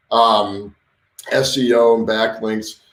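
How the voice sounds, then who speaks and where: A man speaks at a fairly slow pace. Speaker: web design and SEO coach. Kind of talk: live stream tutorial. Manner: halting, many fillers and repeats; casual.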